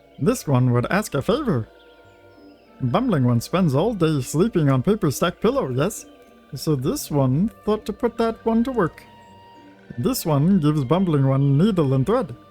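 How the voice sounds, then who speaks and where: Over faint background music, a man in a put-on character voice speaks at a moderate pace with fairly high pitch. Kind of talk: third-person self-reference, broken speech. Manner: put-on creature voice.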